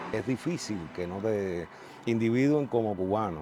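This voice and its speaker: Music plays behind a man's voice. He uses lively intonation. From Cuba. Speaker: artist. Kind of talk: interview testimony.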